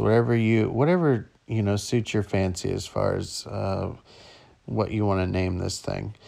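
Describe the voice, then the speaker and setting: Against a quiet background, a man with an ordinary speaking voice talks at a fairly slow pace in a fairly low pitch. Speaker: dad narrating his daughter's hair tutorial. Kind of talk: humorous tutorial narration.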